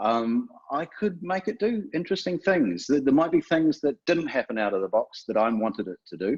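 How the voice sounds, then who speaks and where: A man with a New Zealand accent, with very wide pitch swings, in a dry, close sound with no echo. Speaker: software developer. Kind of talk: webinar presentation. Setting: online webinar. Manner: hesitant, many fillers.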